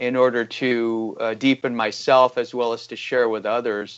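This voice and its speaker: Speaking fairly slowly, a man with an American accent uses a medium pitch. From Iran, then US. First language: Farsi. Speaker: economic researcher. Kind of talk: interview. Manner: halting, many fillers.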